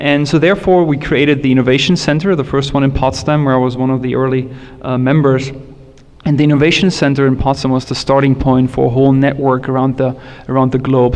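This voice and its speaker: A very fast voice in a German accent, fairly even in intonation, over noticeable background noise. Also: man, very even loudness. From Germany, Berlin area. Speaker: tech industry panelist. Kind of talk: panel discussion.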